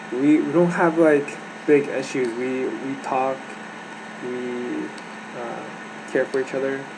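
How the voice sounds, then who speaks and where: A soft-spoken man talks at a very slow pace and a medium pitch, with fairly even intonation and long, frequent pauses. Room echo is audible, and background noise is noticeable. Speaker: vlogger sharing personal mental health story. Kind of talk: personal testimony monologue. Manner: halting, many fillers and restarts.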